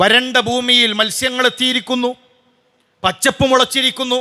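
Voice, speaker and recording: A man speaks at an extremely high pitch. His raised, projected voice has a bright, sharp tone. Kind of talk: Friday sermon.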